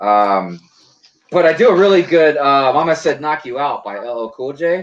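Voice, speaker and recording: At a moderate pace, a man with a fairly high pitch talks with very wide pitch swings and big swings in loudness. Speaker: Lego channel host. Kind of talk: casual chat. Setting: live stream video call.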